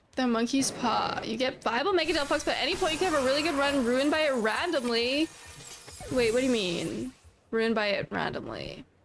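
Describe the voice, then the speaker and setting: With music in the background, a woman speaks high-pitched and fairly quickly, with lively intonation and very even loudness. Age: 20s. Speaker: Pokemon video game streamer. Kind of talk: live gameplay stream chat. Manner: clear.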